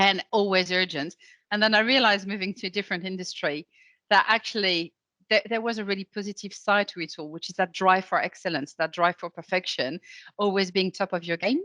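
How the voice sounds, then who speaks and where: In a French accent, a woman with a bright, sharp tone and medium pitch talks at a fairly quick pace with ordinary pitch variation, recorded dry and close with no echo against a quiet background. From France. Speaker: legal operations consultant. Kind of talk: interview.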